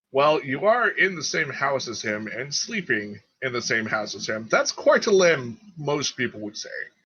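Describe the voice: A man's put-on character voice, bright and sharp in tone with a slightly husky edge and big pitch swings. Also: medium pitch for a man, moderate pace.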